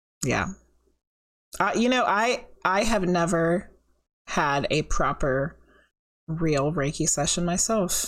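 The intonation is lively and the pace fairly slow. It is a very clean recording with a silent background. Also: woman. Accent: American. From California. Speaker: podcast host and psychic medium. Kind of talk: casual chat.

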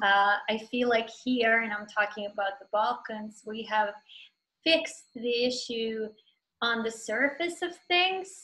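A woman speaks with a Serbo-Croatian accent at a fairly slow pace. Her fairly high pitch moves with lively intonation. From Bosnia. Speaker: novelist. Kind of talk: panel discussion in an online author event.

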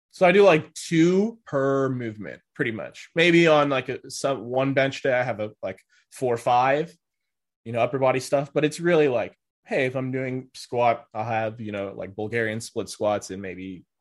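A man's normal speaking voice at medium pitch, lively intonation, big swings in loudness, and a moderate pace. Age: 20s. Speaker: powerlifter. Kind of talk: casual chat.

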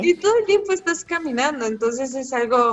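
A woman speaks with lively intonation. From Mexico City. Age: 20s. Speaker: long-distance hiker. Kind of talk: casual interview.

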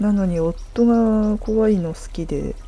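A woman's dark, mellow, medium-pitched voice with ordinary pitch variation and audible room echo. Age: 30s. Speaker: podcaster. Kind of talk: casual solo talk.

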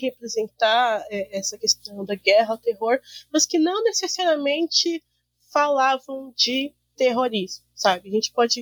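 In a dry, close recording with no echo, a woman speaks very slowly in a high voice with very wide pitch swings. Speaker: university student. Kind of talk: casual chat.

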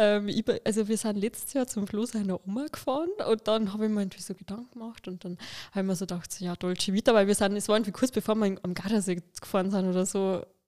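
A woman with a Lower Bavarian accent speaks very fast in a dark, mellow tone with fairly even intonation. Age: 20s. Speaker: influencer and podcast co-host. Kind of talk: casual chat.

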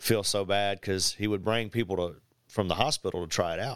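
In an unremarkable speaking voice, a man talks at a moderate pace with fairly low pitch and ordinary pitch variation, on a very clean recording with a silent background. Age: 50s. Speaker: jiu-jitsu and martial arts instructor. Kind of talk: casual chat.

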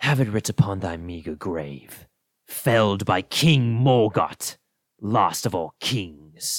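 A man's put-on character voice, fairly low in pitch, with lively intonation at a fairly slow pace, on a very clean recording with a silent background. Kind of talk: archaic, formal. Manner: menacing.

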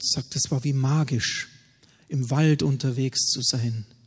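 A man talks at a fairly slow pace with a somewhat breathy voice. His intonation stays fairly even. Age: 40s. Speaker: pastor. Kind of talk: sermon.

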